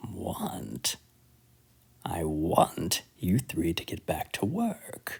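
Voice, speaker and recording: A man's whispering, put-on character voice at a very slow pace. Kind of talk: circus barker. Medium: read story. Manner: theatrical, mocking.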